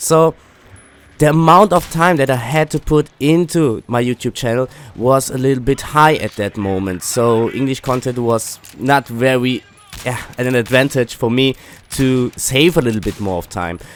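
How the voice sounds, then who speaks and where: A man with a German accent at medium pitch and moderate pace, ordinary pitch variation, over noticeable background noise. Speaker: gaming YouTuber. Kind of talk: casual commentary. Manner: halting, many fillers.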